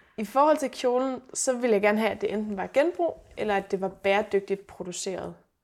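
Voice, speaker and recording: A woman with a plain, everyday voice talks at a fairly quick pace in a fairly high pitch, with lively intonation and hardly any pauses. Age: 30s. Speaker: sustainability blogger. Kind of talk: casual interview. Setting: at host's home.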